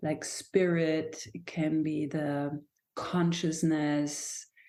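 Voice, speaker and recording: With a German accent, a woman speaks in a very deep, low voice with a dark, mellow tone. Her intonation is monotone and flat. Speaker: dancer and somatic movement teacher. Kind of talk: podcast interview. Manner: halting.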